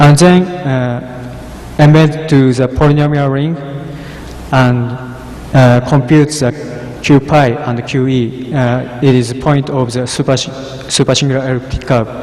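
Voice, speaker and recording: Amid noticeable background noise and audible room echo, a man speaks at a fairly slow pace with long, frequent pauses. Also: medium pitch for a man, fairly even intonation. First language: Japanese. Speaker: cryptography researcher. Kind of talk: conference talk. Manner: halting.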